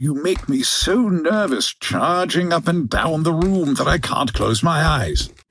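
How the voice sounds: Putting on a character voice, a man speaks fairly slowly at a fairly high pitch, with lively intonation, a fairly bright tone and a slightly husky edge.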